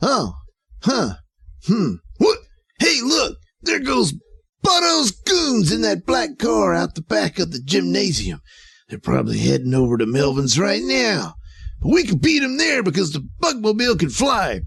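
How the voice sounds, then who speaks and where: A man performs in a put-on character voice at a moderate pace. He leaves long, frequent pauses. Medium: audio drama. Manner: blunt, ungrammatical, blurting.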